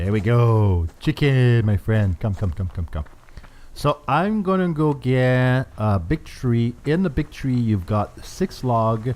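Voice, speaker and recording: Very slow speech in a Quebec accent, with very wide pitch swings. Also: man, medium pitch for a man. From Canada. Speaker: gaming YouTuber. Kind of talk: gameplay commentary. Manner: hesitant, many fillers.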